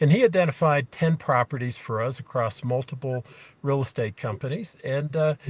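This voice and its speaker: Against a quiet background, a man with a fairly high, somewhat breathy voice speaks with ordinary pitch variation. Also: moderate pace, dry, close sound with no echo. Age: 60s. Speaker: small farmer, property owner abroad. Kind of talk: interview. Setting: video call from a car in the mountains. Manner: halting, many fillers.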